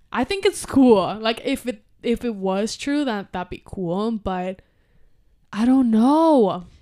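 In a Spanish accent, a woman speaks very slowly with a dark, mellow tone and a fairly high pitch. Her intonation is lively, and the recording is very clean with a silent background. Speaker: podcast co-host. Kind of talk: casual chat.

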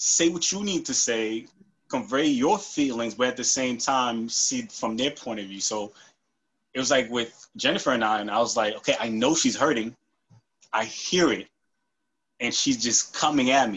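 An unremarkable speaking voice with an American accent, moderate pace and ordinary pitch variation. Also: man, medium pitch for a man. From New York. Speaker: IT analyst. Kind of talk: casual chat.

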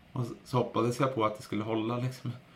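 A man's monotone, flat delivery over music in the background. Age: 30s. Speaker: podcast host and runner. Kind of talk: interview as guest, casual chat.

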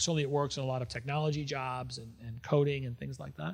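A man speaks in a medium pitch with ordinary pitch variation and a somewhat breathy quality. The recording is very clean, with a silent background. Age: 50s. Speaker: civic entrepreneur and business executive. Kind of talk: interview conversation. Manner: halting, frequent repetitions.

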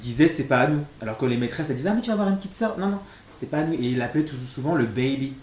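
A man's lively intonation comes through over noticeable background noise. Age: 30s. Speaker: single father via surrogacy. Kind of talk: testimony.

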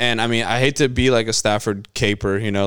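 Here a man with an American accent speaks at a moderate pace in an unremarkable speaking voice, fairly low in pitch. The recording is very clean, with a silent background. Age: 20s. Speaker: sports podcast co-host. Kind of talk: casual chat.

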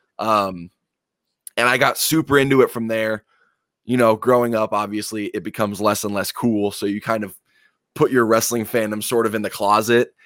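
A man's medium-pitched voice at a moderate pace with fairly even intonation, an ordinary speaking voice, in a very clean recording with a silent background. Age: 20s. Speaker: pro wrestler. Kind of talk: casual interview.

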